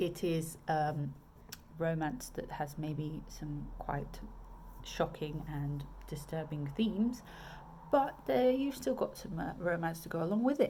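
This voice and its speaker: In a southern English accent, a woman with a very deep, low voice talks very slowly with lively intonation, and the room echo is audible. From southern England. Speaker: romance author. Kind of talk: casual video chat. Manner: hesitant, many fillers.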